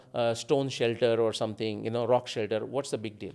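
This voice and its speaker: The man's voice has a dark, mellow tone. The recording is very clean, with a silent background. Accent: Marathi. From India, Maharashtra coast between Mumbai and Goa. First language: Marathi. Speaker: independent researcher. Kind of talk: podcast interview.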